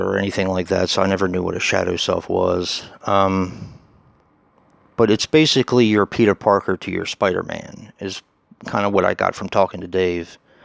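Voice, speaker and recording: Soft-spoken, the voice moves at a moderate pace with fairly even intonation. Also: man, fairly low pitch for a man. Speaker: horror YouTuber. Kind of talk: casual vlog monologue. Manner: hesitant, many fillers.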